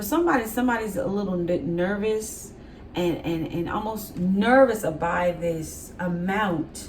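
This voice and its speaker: Noticeable background noise under a woman's fairly slow speech, medium in pitch with ordinary pitch variation. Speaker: tarot reader. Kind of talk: tarot reading. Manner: casual, conversational; halting, self-described stuttering.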